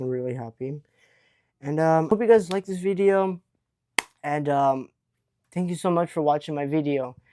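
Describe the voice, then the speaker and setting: The man's voice is fairly high, animated, and shows ordinary pitch variation. The sound is dry and close, with no echo. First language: Hebrew. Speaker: YouTuber. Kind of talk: unboxing vlog. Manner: casual, animated.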